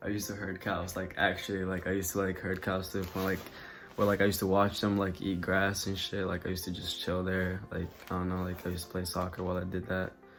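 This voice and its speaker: Audible room echo surrounds a man talking at a very fast pace in a very deep, low pitch with monotone, flat intonation. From Ethiopia. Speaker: YouTuber. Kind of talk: casual storytime vlog. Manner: casual, many fillers and hesitations.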